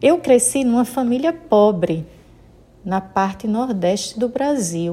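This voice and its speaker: A woman with a dark, mellow tone and fairly high pitch speaks at a very slow pace with lively intonation. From Sergipe, Brazil. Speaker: Baptist pastor. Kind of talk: sermon.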